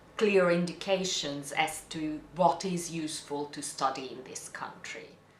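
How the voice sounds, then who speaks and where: This woman has a fairly low pitch, a bright, sharp tone and a non-native accent, with audible room echo around her. She speaks at a very slow pace with fairly even intonation. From Hungary. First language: Hungarian. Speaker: interviewee telling life story. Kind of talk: personal testimony. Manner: halting, repeats words.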